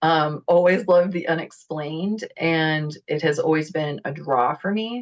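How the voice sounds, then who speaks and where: A woman with a fairly low voice talks at a moderate speed, her pitch varying in an ordinary way. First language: not English. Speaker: spiritual teacher, channeler. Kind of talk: group discussion on video call.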